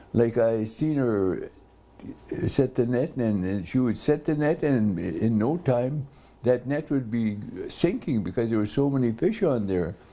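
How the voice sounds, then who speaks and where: This man talks at a fairly slow pace with a dark, mellow tone, a medium pitch, and lively intonation. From Port Alberni area, British Columbia, Canada. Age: 80s+. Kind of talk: oral history interview. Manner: halting, with many fillers.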